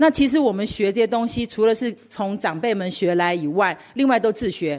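A woman's normal speaking voice at a fairly quick pace, with lively intonation. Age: 60s. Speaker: knitting hobbyist at a craft camp. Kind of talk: personal sharing.

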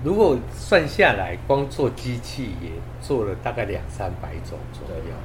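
Speaking fairly slowly in a Taiwanese accent, a man swings widely in loudness, with audible room echo and noticeable background noise. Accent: Taiwanese Mandarin. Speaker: audio equipment company owner. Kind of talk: interview. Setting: on location. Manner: polite, modest.

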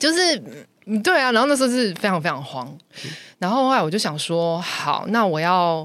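A woman's medium-pitched voice with very wide pitch swings at a moderate pace, broken by long, frequent pauses, with audible room echo. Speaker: podcast guest sharing personal stories. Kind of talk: casual chat, storytelling.

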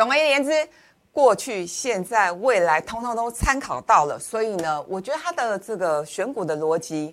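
A woman at a fairly high pitch, very wide pitch swings, moderate pace. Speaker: financial commentator. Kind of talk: finance talk show discussion.

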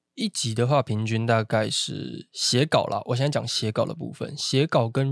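At a moderate pace, the sound is dry and close with no echo, in a very clean recording with a silent background. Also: man. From Taiwan, Taichung. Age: 20s. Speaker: podcast host. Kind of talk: casual chat.

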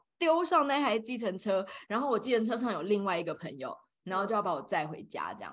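Her tone is animated, with very wide pitch swings around a medium pitch, as this woman talks at a fairly quick pace. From Taiwan. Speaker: podcast co-host. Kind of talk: casual chat. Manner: animated, frequent laughter.

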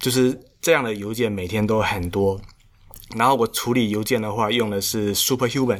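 A man's fairly low voice keeps a moderate pace and fairly even intonation. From Xiamen, China. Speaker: solo startup founder. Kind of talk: casual interview chat. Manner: halting.

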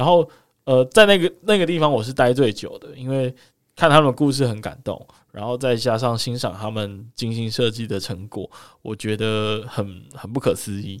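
On a very clean recording with a silent background, a man at medium pitch speaks at a moderate pace with lively intonation and big swings in loudness. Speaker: podcast co-host. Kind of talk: casual chat.

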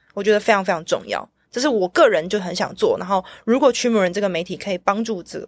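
A woman speaks at a medium pitch with ordinary pitch variation in a plain, everyday voice. The recording is very clean, with a silent background. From Taiwan. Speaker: blockchain media creator, former cinematographer. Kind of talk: casual interview chat.

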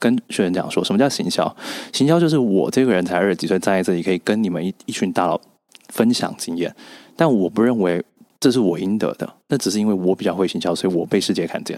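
A very fast, lively man's voice, fairly low in pitch, with a dry, close sound and no echo. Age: 20s. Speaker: author and public speaker. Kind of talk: interview.

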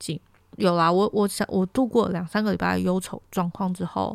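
At a moderate pace, a woman speaks at a medium pitch in a very clean recording with a silent background. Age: 20s. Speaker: podcast host. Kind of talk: casual solo monologue.

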